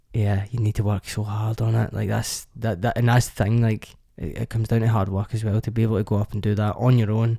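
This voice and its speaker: With a Scottish accent, a man rattles along at a very fast pace with hardly any pauses, his dark, mellow tone somewhat breathy and his intonation monotone and flat. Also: fairly low pitch for a man. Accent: Scottish, Lanarkshire. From Lanarkshire, Scotland. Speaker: actor. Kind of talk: casual interview chat. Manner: casual, friendly.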